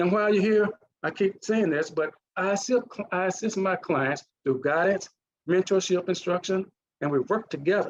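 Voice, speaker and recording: Speaking with a Mississippi accent, a man talks at a moderate pace and a high pitch, with ordinary pitch variation and long, frequent pauses. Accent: Mississippi accent, still noticeable. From US South, Mississippi (Duck Hill). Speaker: leadership coach and retired naval officer. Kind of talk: conference presentation. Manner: halting, with restarts.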